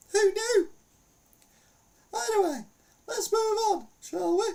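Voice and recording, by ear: In a put-on character voice, a man speaks at an extremely high pitch with vocal fry, ordinary pitch variation, a slow pace, and a slightly mellow tone.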